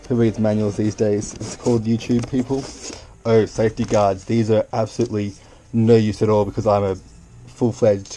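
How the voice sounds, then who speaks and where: A man with a slight Australian accent talks in a playful tone at a fairly quick pace, his intonation monotone and flat, with noticeable background noise behind him. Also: fairly low pitch for a man. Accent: Australian, subtle. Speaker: YouTuber. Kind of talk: unboxing video. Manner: casual, playful; hesitant.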